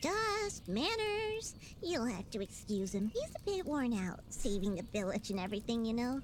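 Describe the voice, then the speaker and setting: A female-sounding voice performs a put-on character voice at a moderate pace. Clear background noise runs underneath. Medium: video game. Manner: quippy, friendly.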